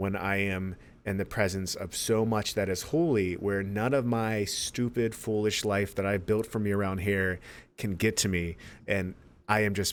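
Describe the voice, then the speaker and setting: Fairly even intonation comes with a delivery that moves at a fairly slow pace. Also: man, very clean recording, silent background. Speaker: podcast co-host. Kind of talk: casual chat. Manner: loud; halting, many fillers.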